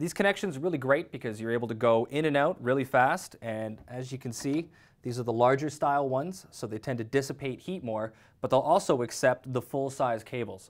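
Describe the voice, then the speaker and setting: A man with ordinary pitch variation, against a quiet background. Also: fairly quick pace. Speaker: technical sales representative. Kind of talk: product demo tutorial. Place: workshop.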